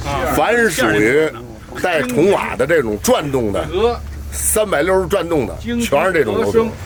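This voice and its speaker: Noticeable background noise sits behind a man whose fairly high voice swings very widely in pitch at a fairly slow pace. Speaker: retired steam locomotive driver. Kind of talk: oral history interview, reminiscing. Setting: outdoors beside a locomotive.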